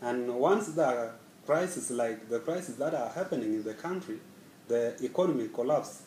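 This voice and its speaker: A man with a medium-pitched voice and lively intonation speaks at a moderate pace, with light background noise and audible room echo. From South Sudan. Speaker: scholarship student. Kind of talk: personal interview. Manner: halting. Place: office. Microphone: camera far.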